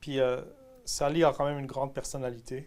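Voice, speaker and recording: Fairly slow speech from a man with a fairly high pitch. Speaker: pastor. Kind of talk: testimony.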